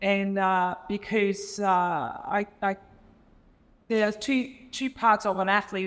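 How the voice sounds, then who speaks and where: A woman with a German accent speaks at medium pitch with monotone, flat intonation. The recording is very clean, with a silent background. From Germany. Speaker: entrepreneur and former elite swimmer. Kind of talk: panel discussion. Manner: halting, many fillers.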